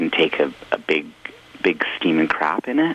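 This man's very deep, low voice moves at a moderate pace through noticeable background noise. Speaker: musician. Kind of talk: casual interview. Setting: phone call.

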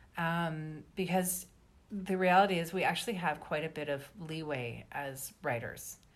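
In an ordinary speaking voice, a woman with a Canadian accent and a fairly low pitch talks at a fairly slow pace with ordinary pitch variation. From Canada, British Columbia. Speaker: novelist. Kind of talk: interview.

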